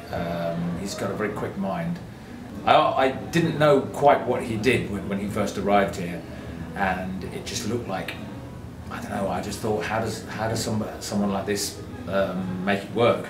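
The speaker talks at a fairly slow pace against noticeable background noise. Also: man. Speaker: acquaintance of the artist. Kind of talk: documentary interview. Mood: warm, admiring. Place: studio.

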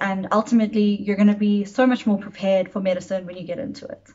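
A somewhat breathy woman's voice of medium pitch, monotone and flat, over a quiet background. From South Africa, Johannesburg. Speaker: medical student. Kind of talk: testimony. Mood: calm, encouraging. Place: home room.

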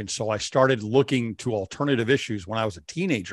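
A man with a medium pitch and ordinary pitch variation talks at a fairly quick pace, with a dry sound with no echo and a quiet background. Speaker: faith-based show host. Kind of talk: interview. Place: studio. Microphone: studio mic.

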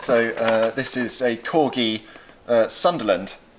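A man talks over noticeable background noise. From England. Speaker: auctioneer. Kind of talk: auction preview walkthrough, casual talk to camera. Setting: indoors, saleroom. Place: shop. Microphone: camera far.

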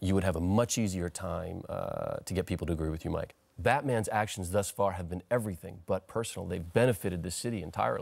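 Speaking at a very fast pace with hardly any pauses, the man has a very deep, low pitch. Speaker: interview guest. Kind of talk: interview answer. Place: studio. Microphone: lapel.

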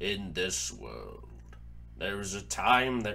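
Clear background noise accompanies a man doing a put-on character voice at a fairly slow pace. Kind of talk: dramatic philosophical monologue. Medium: dub. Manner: slow, solemn.

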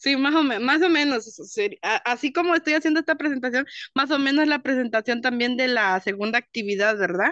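A woman talks at a fairly quick pace in a high pitch, with a bright, sharp tone, lively intonation and very even loudness. The sound is dry with no echo, over a quiet background. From Chiapas, Mexico. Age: 20s. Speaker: online English student; teacher or facilitator. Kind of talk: class participation. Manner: halting. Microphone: video call.

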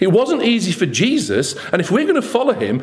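A man speaks with very wide swings in pitch.

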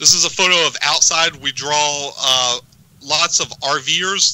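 A man with a plain, everyday voice and a fairly high pitch speaks at a fairly slow pace with ordinary pitch variation, in dry sound with no echo. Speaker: ham radio event organizer. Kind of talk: casual interview. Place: studio. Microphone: studio mic.

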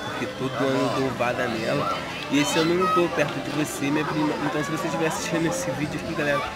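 Over crowd noise in the background, a man talks at a very fast pace. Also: ordinary pitch variation. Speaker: vlogger. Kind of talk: casual vlog chat. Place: street. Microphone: phone near.

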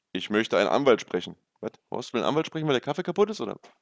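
Very fast and with very wide pitch swings, a man speaks at a medium pitch in a dry recording with no echo and a quiet background. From Berlin. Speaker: gaming streamer. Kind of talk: read-aloud with casual asides. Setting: live stream. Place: home room. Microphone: headset.

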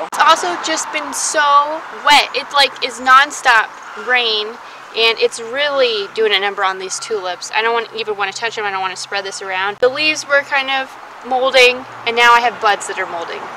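Noticeable background noise runs throughout. A woman talks at a moderate pace, her pitch varying in an ordinary way. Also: dry sound with no echo. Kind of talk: casual vlog chat. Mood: disappointed, resigned.

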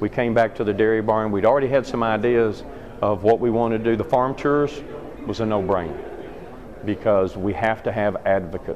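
Over noticeable background noise, a man moves at a fairly quick pace, his pitch varying in an ordinary way. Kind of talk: interview answer. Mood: upbeat, enthusiastic. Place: hall. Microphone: phone near.

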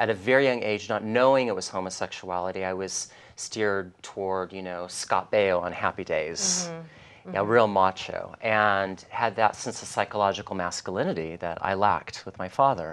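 The speaker is a man with a fairly low pitch. His pitch varies in an ordinary way. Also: moderate pace. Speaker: interview guest, life coach. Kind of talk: interview answer. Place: studio. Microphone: lapel.

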